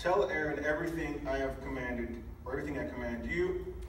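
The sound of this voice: A man at a fairly slow pace, with clear background noise and audible room echo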